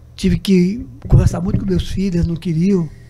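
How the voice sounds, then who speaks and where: Behind this man's speech there is noticeable background noise. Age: 70s. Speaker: journalist. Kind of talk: interview.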